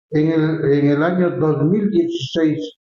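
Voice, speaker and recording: Somewhat breathy, with ordinary pitch variation. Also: man. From Ecuador, Latacunga (Andean highlands). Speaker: cultural figure, former festival honoree. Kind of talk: interview conversation. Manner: halting, frequent repetitions.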